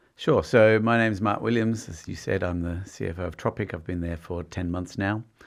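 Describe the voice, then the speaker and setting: In an Australian accent, a man with a very deep, low voice speaks at a fairly quick pace. His pitch varies in an ordinary way. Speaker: company finance executive. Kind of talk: podcast interview.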